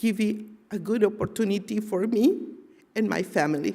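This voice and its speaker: Woman's voice, dark and mellow in tone, somewhat breathy. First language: not English. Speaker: community member giving testimony. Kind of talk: testimony.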